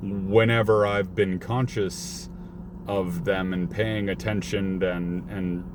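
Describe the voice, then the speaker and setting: A man talks very slowly at a very deep, low pitch with ordinary pitch variation. Noticeable background noise and audible room echo fill the recording. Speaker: delivery driver vlogger. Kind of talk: casual vlog rant. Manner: halting, stuttering.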